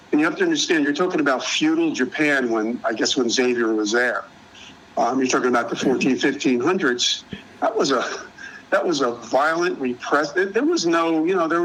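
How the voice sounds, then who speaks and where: Speaking at a fairly quick pace with a fairly high pitch, a man keeps his loudness very even and his pitch variation ordinary over noticeable background noise. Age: 60s. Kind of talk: casual chat. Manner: halting.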